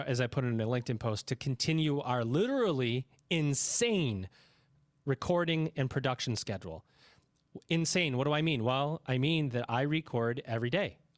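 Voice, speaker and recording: An unremarkable speaking voice, a man with an American accent at medium pitch and moderate pace, ordinary pitch variation, in a dry, close sound with no echo and a very clean recording, silent background. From New York. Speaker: podcast host. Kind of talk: podcast interview.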